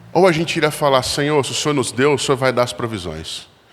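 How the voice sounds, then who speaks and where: A man with a medium-pitched voice talks at a fairly quick pace amid audible room echo. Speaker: pastor, guest preacher. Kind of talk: sermon. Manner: occasional stammering restarts.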